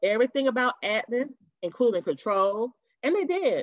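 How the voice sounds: The speaker uses lively intonation at a moderate pace. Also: woman.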